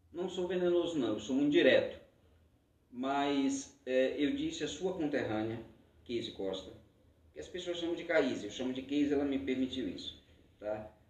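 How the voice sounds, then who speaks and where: A man with a fairly high pitch and ordinary pitch variation speaks at a moderate pace, pausing long and often, with audible room echo. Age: 50s. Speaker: podcast host. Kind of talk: debate moderation.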